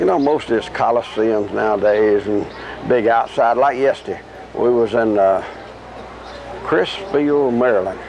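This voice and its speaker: Against noticeable background noise, a man of medium pitch speaks at a moderate pace with very even loudness, ordinary pitch variation, and long, frequent pauses. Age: 60s. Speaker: country singer. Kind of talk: interview.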